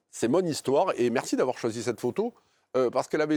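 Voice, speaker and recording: A man with a strong Marseille accent, lively intonation and a fairly quick pace, on a very clean recording with a silent background. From France, Marseille northern districts. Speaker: coach and university professor. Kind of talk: interview. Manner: hesitant, many fillers.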